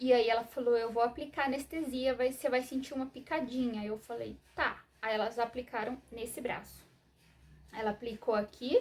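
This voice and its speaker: A soft-spoken voice with fairly even intonation moves at a moderate pace over noticeable background noise. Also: woman, high pitch for a woman. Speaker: vlogger sharing personal medical story. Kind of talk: personal testimony to camera. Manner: hesitant, many fillers.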